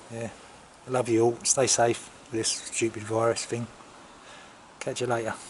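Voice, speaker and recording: A man with an English accent at a medium pitch, in a monotone, flat intonation. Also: moderate pace. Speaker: motorcycle vlogger. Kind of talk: casual chat. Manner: halting.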